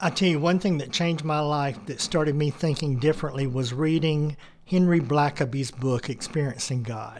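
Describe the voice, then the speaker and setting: A man with a normal speaking voice talks at a moderate pace in a fairly high pitch, with fairly even intonation. The recording is very clean, the background silent. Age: 60s. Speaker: retiree, neighborhood ministry volunteer. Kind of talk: interview storytelling.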